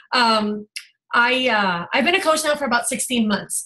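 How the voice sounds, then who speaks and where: A woman's high, bright, sharp voice at a moderate pace, full of lively intonation. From Puerto Rico. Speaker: life coach. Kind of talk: testimony.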